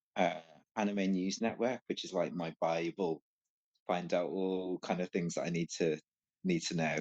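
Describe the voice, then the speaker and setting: A man in a Scouse accent talks at a moderate pace with a very deep, low pitch. His intonation is fairly even, and the sound is dry and close with no echo. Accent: Scouse (Liverpool) English. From Liverpool, England. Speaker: podcast guest, anime fan. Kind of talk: casual chat. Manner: halting, many fillers.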